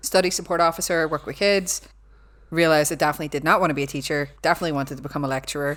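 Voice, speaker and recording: A woman's very deep, low voice in an animated tone at a very fast pace. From Northern Ireland, Belfast. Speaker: cyber security lecturer. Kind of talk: casual chat.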